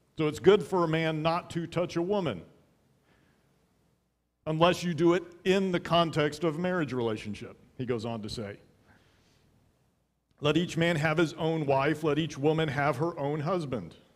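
Long, frequent pauses break up a man's speech at a moderate pace. His pitch shows ordinary variation. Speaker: pastor. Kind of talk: sermon. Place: church. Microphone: headset.

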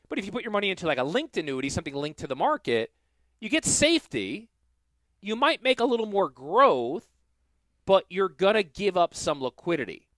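Fairly quick and animated, a man speaks in a high voice with very wide pitch swings, the sound dry with no echo over a quiet background. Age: 40s. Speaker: financial planner and radio host; radio host. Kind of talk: casual chat. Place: studio. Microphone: headset.

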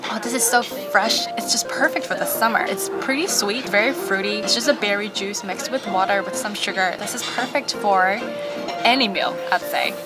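Loud music plays behind a woman's voice. She talks at a moderate pace with ordinary pitch variation. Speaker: food vlogger. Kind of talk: casual vlog chat. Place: cafe. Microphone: camera far.

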